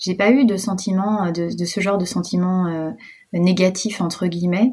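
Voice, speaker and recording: Her pitch sits in the middle range for a woman. There is a somewhat breathy quality to it. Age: 30s. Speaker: entrepreneur and mother. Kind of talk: personal testimony interview.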